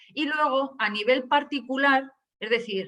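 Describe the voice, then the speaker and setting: Her voice is high, bright and sharp. This woman's intonation is lively. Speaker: data protection official, webinar speaker. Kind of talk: webinar presentation. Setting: online webinar. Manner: hesitant, many fillers.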